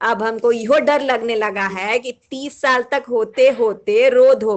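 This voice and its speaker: In a Bihari accent, a woman speaks at a high pitch with lively intonation. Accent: Bihari Hindi. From Bihar, India. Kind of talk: humorous monologue reading.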